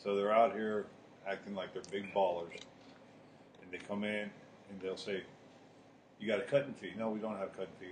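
The man's voice is fairly low. He speaks at a very fast pace. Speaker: podcast co-host. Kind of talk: casual chat. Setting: smoke shop.

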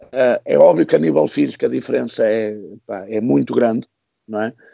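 The speaker is a man. He talks at a moderate pace. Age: 40s. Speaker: basketball coach. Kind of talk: casual panel discussion.

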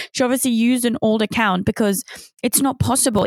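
A woman's very fast speech with vocal fry, in a dry, close sound with no echo. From Switzerland and UK. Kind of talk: casual chat interview.

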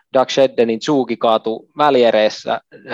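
The man talks in a flat monotone, recorded dry and close with no echo against a quiet background. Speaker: retired ice hockey player. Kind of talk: interview. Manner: halting.

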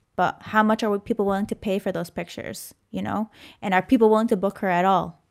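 A woman's medium-pitched voice at a very fast pace, dry and close with no echo, on a very clean recording with a silent background. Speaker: photographer and video creator. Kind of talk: interview. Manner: animated.

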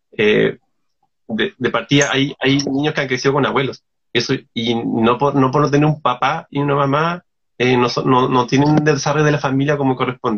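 An ordinary speaking voice from a man, fairly high in pitch, fairly quick, with very even loudness and fairly even intonation. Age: 30s. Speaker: illustrator and artist. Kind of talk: casual interview.

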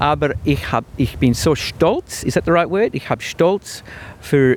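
Lively intonation from a man at a moderate pace, noticeable background noise behind him. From Australia, Melbourne. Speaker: band leader and clarinettist. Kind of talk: interview. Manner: halting.

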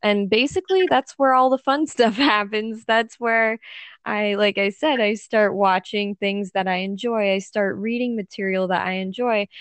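A woman with an American accent, fairly high in pitch, at a moderate pace with ordinary pitch variation. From United States. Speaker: language learning YouTuber. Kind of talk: casual chat.

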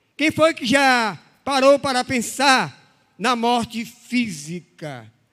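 A man's voice rings out raised and projected, extremely high in pitch and bright and sharp in tone. The recording is very clean, with a silent background. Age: 60s. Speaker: pastor. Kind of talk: sermon.

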